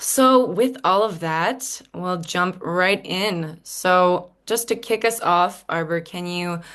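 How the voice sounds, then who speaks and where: In a quiet background, a woman with an American accent has a normal speaking voice at medium pitch with ordinary pitch variation. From United States. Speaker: panel moderator. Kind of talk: panel discussion.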